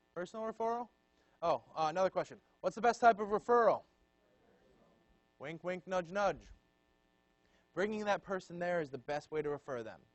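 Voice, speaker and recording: A man talks loudly at a fairly quick pace with a high pitch and lively intonation. He takes long, frequent pauses. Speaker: student leadership trainer. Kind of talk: training session lecture. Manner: casual and conversational.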